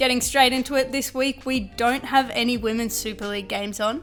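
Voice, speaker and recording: Talking at a fairly quick pace, a woman in an Australian accent uses a high pitch. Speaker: football podcast co-host, news roundup segment. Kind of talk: scripted news roundup. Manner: professional and polite.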